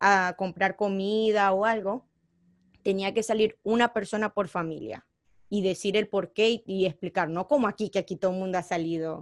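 A woman with a Venezuelan accent speaks at a moderate pace, her medium pitch moving with ordinary variation. The sound is dry and close with no echo, and the recording is very clean over a silent background. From Venezuela (born in Colombia). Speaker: DJ and media personality. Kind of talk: casual interview.

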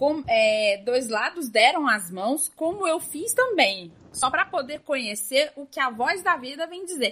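Raising and projecting her voice, a woman speaks in a high pitch with a bright, sharp tone and very wide pitch swings. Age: 20s. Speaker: podcast host. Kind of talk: casual chat.

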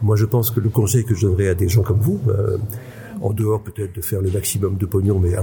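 A man talks at a very fast pace with fairly even intonation. Background noise is noticeable. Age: 60s. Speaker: psychiatrist and conference speaker. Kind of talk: interview. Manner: halting.

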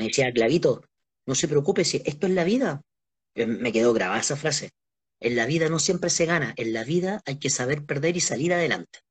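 A man with a Chilean accent talks at a fairly quick pace, his pitch fairly high. His intonation is lively and his voice somewhat breathy. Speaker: interviewee, friend of host. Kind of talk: casual live-stream interview. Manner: animated.

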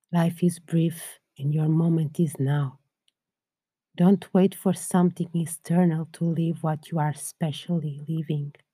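A woman's somewhat breathy, dark, mellow voice at a fairly low pitch, calm and soothing in tone, at a fairly slow pace with monotone, flat intonation. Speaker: podcast host and meditation guide. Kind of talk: guided meditation. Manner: calm, slow, soothing, gentle; soft-spoken, with long pauses.

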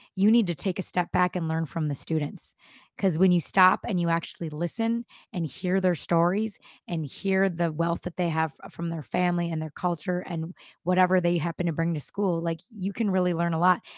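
In a plain, everyday voice, a woman with an American accent speaks at a fairly quick pace with a fairly low pitch and fairly even intonation, recorded dry and close with no echo and a very clean, silent background. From Minnesota. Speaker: elementary school teacher. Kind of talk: interview podcast.

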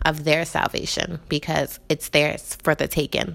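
A woman with an American accent speaks at a very slow pace. Background noise is noticeable. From Jamaican family, New York. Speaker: podcast host. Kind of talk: solo personal podcast monologue.

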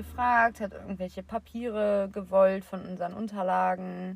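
The woman's voice is somewhat breathy and medium in pitch. She keeps a moderate pace and fairly even intonation. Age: 20s. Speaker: podcast co-host. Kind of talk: casual chat.

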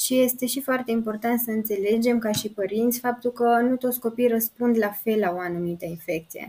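Using a normal speaking voice, a woman keeps fairly even intonation and a moderate pace. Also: fairly high pitch for a woman, hardly any pauses. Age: 20s. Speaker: pediatrician. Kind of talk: interview.

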